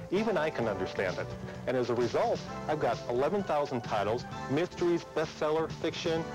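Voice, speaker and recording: Music plays behind a man with a fairly high pitch who speaks fairly quickly. His pitch swings very widely while his loudness stays very even. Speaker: audiobook store owner. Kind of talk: customer testimonial.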